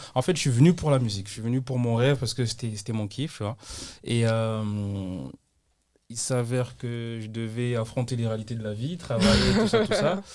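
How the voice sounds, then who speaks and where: Speaking at a moderate pace with long, frequent pauses, a man uses a medium pitch with ordinary pitch variation. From southern France, Toulouse. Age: 20s. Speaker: singer. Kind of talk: casual chat. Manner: hesitant, many fillers.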